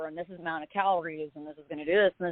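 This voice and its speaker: Very fast speech from a woman. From US, moved around (New Jersey, Texas, Southern California). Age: 30s. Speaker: singer-songwriter and entrepreneur sharing abuse survivor story. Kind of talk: podcast interview testimony. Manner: casual, halting with fillers.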